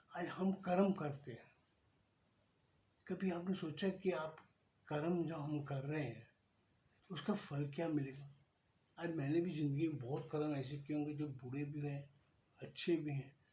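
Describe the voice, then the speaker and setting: A man speaks with a fairly high pitch and a dark, mellow tone, somewhat breathy, with fairly even intonation, long, frequent pauses and audible room echo. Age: 60s. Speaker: devotional speaker. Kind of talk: spiritual talk. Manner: conversational.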